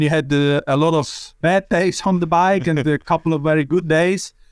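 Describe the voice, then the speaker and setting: A man speaks at a high pitch with a Swiss German accent. His intonation is fairly even, and the sound is dry and close with no echo. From Switzerland. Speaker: cycling sports director. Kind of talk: casual interview. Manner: halting.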